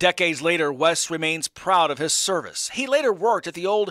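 With a bright, sharp tone and lively intonation, a man speaks in a raised, projected voice at a moderate pace. The sound is dry and close with no echo, very clean, over a silent background. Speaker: TV news anchor and reporter. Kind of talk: TV news report narration.

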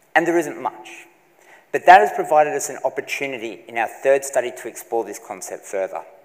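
The background is quiet as a man speaks at a fairly high pitch. He moves at a fairly quick pace with ordinary pitch variation. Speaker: PhD candidate; candidate. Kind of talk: three-minute research presentation. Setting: stage with audience. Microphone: lapel.

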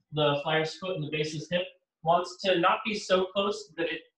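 A man talks at a moderate pace with fairly even intonation. The room echo is audible, but the background is quiet. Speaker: acrobatics instructor. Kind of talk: tutorial. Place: home room. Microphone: camera far.

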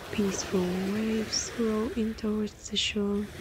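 Over noticeable background noise, a woman talks at a very slow pace. Her fairly high voice stays monotone, with flat intonation. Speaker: guided meditation leader. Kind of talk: guided meditation, calm soothing narration of a beach sunrise scene. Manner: soothing, calm and unhurried.

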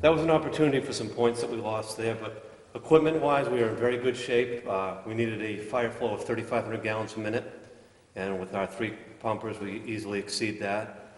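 There is audible room echo as a man talks at a fairly quick pace with ordinary pitch variation. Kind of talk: public meeting report. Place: hall. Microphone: podium.

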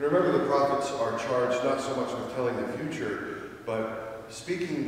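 A man speaks at a moderate pace amid strong room echo. Light background noise can be heard. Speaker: priest. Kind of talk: sermon. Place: church. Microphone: podium.

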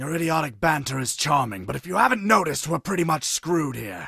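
In a cartoonish character voice, a man rattles along at a very fast pace with a fairly high pitch. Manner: sarcastic, condescending, menacing.

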